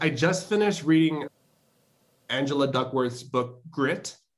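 A man with a Chicago accent speaks at a moderate pace. His somewhat breathy voice has a fairly high pitch and ordinary pitch variation. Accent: Chicago American English. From Chicago South Side, US. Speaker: tech professional. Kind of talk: interview.

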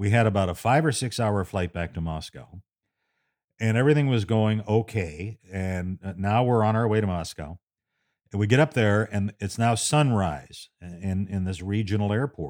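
With a plain, everyday voice, a man speaks at a moderate pace and fairly low pitch, showing ordinary pitch variation in a very clean, dry, close recording with no echo and a silent background. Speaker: radio host and storyteller. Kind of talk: storytelling monologue, recounting a tense personal memoir. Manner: conversational, building suspense, with frequent fillers.

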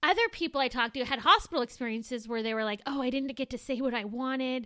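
A woman speaks in a raised, projected voice at a fairly quick pace, her tone bright and sharp against a quiet background. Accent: American. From Southern California, Moreno Valley. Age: 30s. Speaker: podcast co-host. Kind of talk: casual chat.

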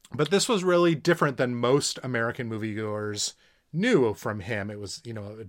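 On a very clean recording with a silent background, a man with an ordinary speaking voice talks at a medium pitch and moderate pace with lively intonation. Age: 40s. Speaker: podcast co-host, father. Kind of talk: casual chat about movies.

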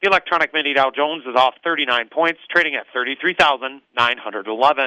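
With a plain, everyday voice, a man speaks at a fairly high pitch. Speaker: grain market commentator. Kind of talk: market report read aloud. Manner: brisk, formal, even delivery of figures.

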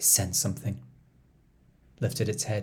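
A man speaks in an intense, dramatic tone. Vocal fry runs through his voice. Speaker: storyteller podcast host. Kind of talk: mythic storytelling narration, performed reading of a dark Greek myth; podcast intro and outro, direct address. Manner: hushed, incantatory, intense and dramatic, measured pacing with rhythmic repetition.

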